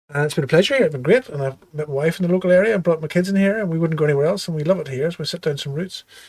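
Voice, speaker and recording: A fairly high-pitched man in a Belfast accent, at a very fast pace with hardly any pauses and ordinary pitch variation. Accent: Belfast Irish. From Northern Ireland, Belfast. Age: 50s. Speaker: surgeon. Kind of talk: interview.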